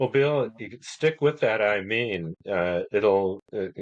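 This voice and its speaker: Against a quiet background, a man with an American accent and a fairly low voice speaks at a very slow pace with ordinary pitch variation. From northern Indiana, US Midwest. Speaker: author, retired attorney. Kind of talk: casual chat.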